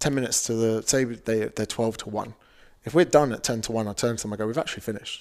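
A man with a southern English accent talks at a very fast pace. His medium-pitched voice keeps a fairly even intonation. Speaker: fitness coach and author. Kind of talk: casual chat.

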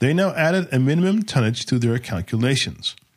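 A man's somewhat breathy, medium-pitched voice at a moderate pace, with very wide pitch swings. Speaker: podcast host narrating history. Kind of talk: history documentary narration, scripted and informative. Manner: measured, steady, formal storytelling pace.

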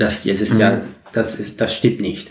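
This is a man speaking at a medium pitch. His voice is somewhat breathy. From Netherlands, Maastricht. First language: Dutch (speaking German). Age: 40s. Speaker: community organizer. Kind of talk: interview. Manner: halting.

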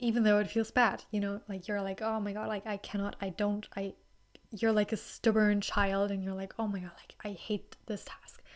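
Moderate pace in a German accent, with monotone, flat intonation and big swings in loudness, on a very clean recording with a silent background. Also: woman, medium pitch for a woman. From Germany. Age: 20s. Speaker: podcast host. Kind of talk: solo casual talk. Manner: soft-spoken, reserved; halting, many fillers.

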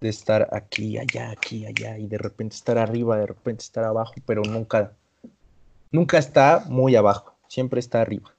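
With fairly level intonation and a mid-range pitch, this man talks at a moderate speed. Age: young. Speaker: podcast co-host. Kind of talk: casual chat.

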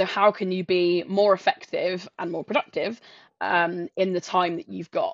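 A woman's medium-pitched voice in a southern English accent, moderate in pace with fairly even intonation, dry and close with no echo, over a quiet background. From south coast of England. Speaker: sales professional and coach. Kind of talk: interview.

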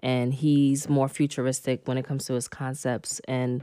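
A woman speaks at a moderate pace with a New York accent, her pitch very deep and low. Her tone is dark and mellow, and her intonation stays monotone and flat. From Red Hook, Brooklyn, New York. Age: 30s. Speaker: podcast host. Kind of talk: interview.

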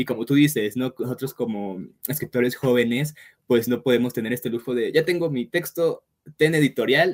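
Here is an unremarkable speaking voice from a man, medium in pitch. He moves at a moderate pace with ordinary pitch variation. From Mexico. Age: 20s. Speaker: writer. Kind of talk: casual interview.

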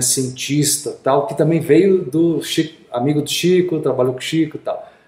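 At a moderate pace, a man with a fairly high pitch and ordinary pitch variation speaks in a plain, everyday voice. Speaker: podcast host. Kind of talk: casual interview.

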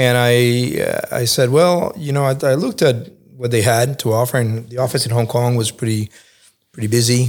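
In an American accent, a man with an unremarkable speaking voice talks at medium pitch and a moderate pace, captured in a very clean recording with a silent background. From Cuba, Spain and New York. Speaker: think tank fellow, former journalist. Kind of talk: interview podcast.

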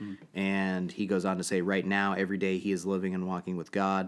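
In a very clean recording with a silent background, a man with a very deep, low pitch speaks at a moderate pace. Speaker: podcast host. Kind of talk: casual chat. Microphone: new mic.

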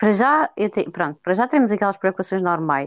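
Recorded with a dry, close sound with no echo and a quiet background, a woman speaks in a European Portuguese accent. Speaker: podcast co-host. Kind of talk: casual chat.

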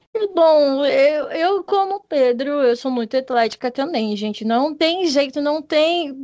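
A woman speaks at a very slow pace in a high pitch, with lively intonation and hardly any pauses. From Paraná, Brazil. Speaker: podcast host, music therapy student. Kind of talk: casual chat. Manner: animated.

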